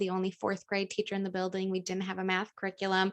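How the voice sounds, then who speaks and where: A woman with an unremarkable speaking voice, medium pitch and a fairly quick pace. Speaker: teacher and podcast host. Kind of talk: podcast interview host.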